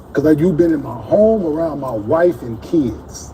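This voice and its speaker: A man speaks at a fairly high pitch and a fairly slow pace. His pitch swings very widely over noticeable background noise. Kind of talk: heated debate. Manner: confrontational, repeated questions.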